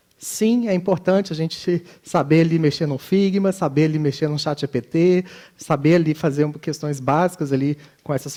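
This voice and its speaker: A man's dark, mellow voice with a Minas Gerais accent. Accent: Minas Gerais (mineiro). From Minas Gerais, Brazil. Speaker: conference speaker, design educator. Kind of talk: conference talk.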